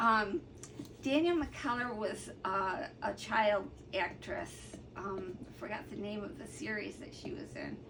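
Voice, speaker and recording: A woman's fairly high, fairly slow voice with lively intonation, amid noticeable background noise and audible room echo. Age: 60s. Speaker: artist and colouring hobbyist vlogger. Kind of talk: casual vlog talk. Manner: hesitant, many fillers.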